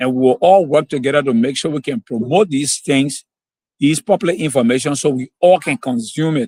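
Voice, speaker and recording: A man speaks at a fairly quick pace and a fairly high pitch. His tone is dark and mellow, and the sound is dry and close with no echo. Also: ordinary pitch variation. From Liberia. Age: 60s. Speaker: road safety advocate. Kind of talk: interview.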